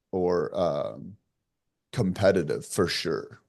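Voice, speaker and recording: A man at a fairly low pitch and very slow pace, against a quiet background. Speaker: entrepreneur. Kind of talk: podcast interview. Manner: loud; animated.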